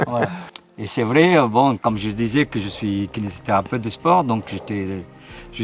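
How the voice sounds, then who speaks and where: Music plays in the background as a man talks at a moderate pace. His pitch sits fairly low. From Middle East. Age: 60s. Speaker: sports physiotherapist and heart transplant recipient. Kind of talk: interview. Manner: halting.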